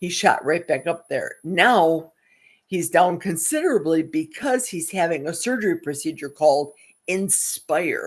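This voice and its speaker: In a very clean recording with a silent background, a plain, everyday voice with ordinary pitch variation moves at a fairly slow pace. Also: woman, fairly low pitch for a woman. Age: 60s. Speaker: YouTube live stream host. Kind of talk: casual live stream chat.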